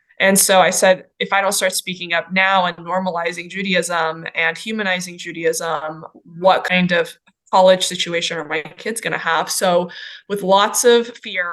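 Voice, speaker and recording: Her pace is moderate, in an American accent. The woman speaks at medium pitch with monotone, flat intonation. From Los Angeles, raised from early childhood after fleeing Iran. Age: 40s. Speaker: doctor and business owner. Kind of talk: interview testimony.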